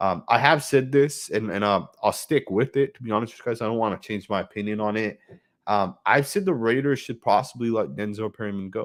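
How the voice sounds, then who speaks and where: The recording is very clean, with a silent background. A man of medium pitch talks at a fairly quick pace with ordinary pitch variation. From Northern California. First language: not English (home language of immigrant parents). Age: 20s. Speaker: sports fan streamer. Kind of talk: live game watch-along commentary. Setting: live stream from home computer. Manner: casual, many fillers (um, uh, right).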